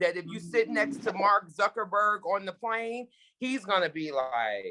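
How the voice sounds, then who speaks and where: Speaking at a fairly slow pace in an American accent, a woman uses very wide pitch swings, vocal fry and a bright, sharp tone. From Brooklyn, New York. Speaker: TV executive producer. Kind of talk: Q&A talk.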